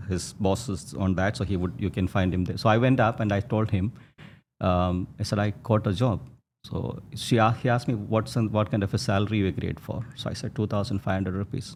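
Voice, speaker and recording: Speaking with a Keralan accent, a man talks at a fairly quick pace in a fairly low voice with ordinary pitch variation. The recording is very clean, with a silent background. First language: Malayalam. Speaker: textile entrepreneur. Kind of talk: interview storytelling. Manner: halting, many fillers and restarts.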